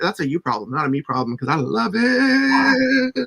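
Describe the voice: With vocal fry and a slightly husky edge, a man speaks at a moderate pace in a high pitch, his fairly bright tone moving in big pitch swings.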